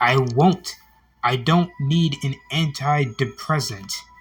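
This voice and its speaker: A man uses a whiny, put-on character voice at a fairly high pitch. He speaks at a fairly slow pace over music in the background. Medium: read story. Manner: whiny, entitled.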